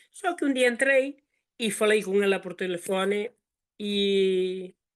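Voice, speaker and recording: The delivery is very slow, with ordinary variation in pitch. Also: woman, medium pitch for a woman. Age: 70s. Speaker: product user giving testimony. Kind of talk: testimony.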